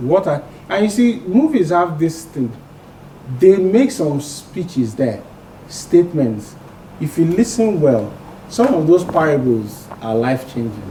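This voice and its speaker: A man speaks at a fairly slow pace in a fairly high pitch, his voice swinging very widely in pitch, with long, frequent pauses and noticeable background noise. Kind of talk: interview.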